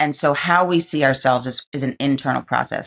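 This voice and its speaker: A woman with a New York accent talks at a fairly quick pace in a very deep, low pitch. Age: 50s. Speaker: activist and entrepreneur. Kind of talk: interview answer.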